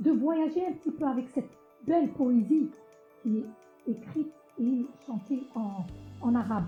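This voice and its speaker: Lively intonation runs at a fairly slow pace with long, frequent pauses. Music plays in the background. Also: woman, high pitch for a woman. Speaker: singer of Arabo-Andalusian music. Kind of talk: interview answer.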